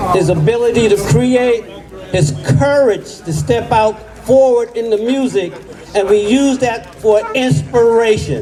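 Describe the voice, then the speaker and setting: Over noticeable background noise, someone with an American accent speaks at a fairly slow pace. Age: 80s+. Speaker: jazz music educator. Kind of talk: ceremony speech.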